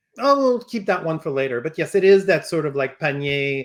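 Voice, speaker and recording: Speaking in a French accent, a man talks at a fairly quick pace. His pitch sits fairly high. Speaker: toy company representative. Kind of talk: product unveiling discussion. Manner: halting, many fillers.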